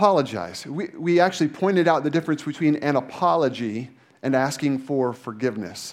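An ordinary speaking voice from a man, fairly high in pitch, with lively intonation and a fairly quick pace. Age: 30s. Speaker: pastor. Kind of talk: sermon.

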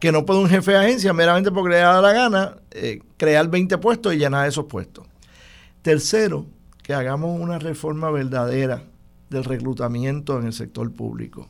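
With an ordinary speaking voice, a man talks at a moderate pace and a fairly high pitch, his intonation lively. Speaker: political commentator. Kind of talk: political analysis discussion.

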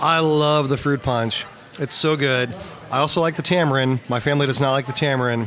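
A man with a Midwestern American accent talks at a fairly quick pace and fairly high pitch. His loudness stays very even over noticeable background noise. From Missouri, Lexington. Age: 40s. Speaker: brewery marketing manager. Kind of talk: casual chat. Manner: animated.

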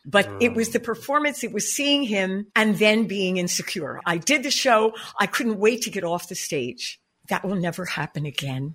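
At a moderate pace, a woman with a medium pitch talks in an animated, bubbly tone with very wide pitch swings. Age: 70s. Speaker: jazz singer and vocal coach. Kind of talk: casual interview.

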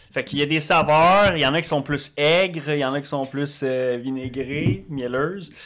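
In an ordinary speaking voice, a man talks at a moderate pace with a fairly high pitch, fairly even intonation and hardly any pauses. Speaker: podcast co-host. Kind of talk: casual podcast chat.

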